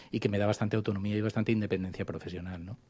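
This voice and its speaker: Speaking with a dark, mellow tone, a man with a fairly low pitch comes through on a very clean recording with a silent background. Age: 50s. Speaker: journalist and radio founder. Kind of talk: interview conversation. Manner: hesitant with fillers.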